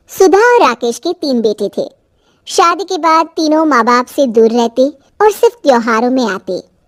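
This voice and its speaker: A female-sounding cartoonish character voice with a high pitch moves at a moderate pace. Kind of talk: cartoon storytelling.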